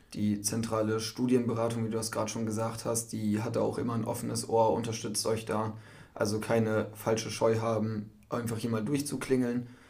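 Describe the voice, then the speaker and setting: Audible room echo surrounds this man's speech. His medium-pitched voice has monotone, flat intonation. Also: moderate pace. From northern Germany, Cloppenburg area. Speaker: university student. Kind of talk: casual podcast chat.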